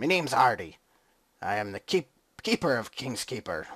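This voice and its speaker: A man does a raspy put-on character voice at a medium pitch and moderate pace, on a very clean recording with a silent background. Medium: game stream. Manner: hearty, jovial.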